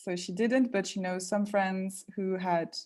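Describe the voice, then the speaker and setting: A woman with a French accent speaks in a dark, mellow tone with fairly even intonation. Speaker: language learning coach. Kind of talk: live webinar Q&A.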